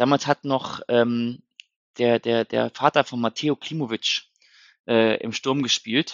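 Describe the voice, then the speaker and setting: Slow to a great degree, a man talks in a monotone, flat intonation. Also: medium pitch for a man. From northern Germany, Hannover. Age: 30s. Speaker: football fan podcaster. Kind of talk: casual chat. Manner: halting, many fillers.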